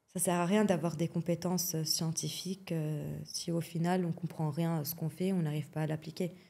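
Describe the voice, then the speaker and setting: A woman with a Lebanese accent speaks at a moderate pace in a fairly low, dark, mellow voice that is somewhat breathy, with flat, monotone intonation and hardly any pauses. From Lebanon. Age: young. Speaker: athletics coach. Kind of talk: podcast interview. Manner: frequent hesitations (euh).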